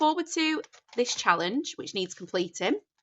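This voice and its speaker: Her voice swings very widely in pitch as a woman speaks with a Northern English accent. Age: 30s. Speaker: budgeting content creator. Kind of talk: casual talk to camera.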